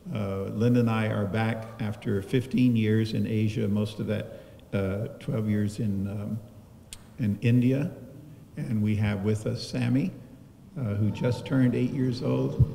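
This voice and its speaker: Very slow and broken by long, frequent pauses, a man's speech comes at a fairly low pitch. His pitch varies in an ordinary way, with light background noise present. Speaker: speaker. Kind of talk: eulogy remarks to a congregation. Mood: warm, lightly humorous, emotional. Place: church.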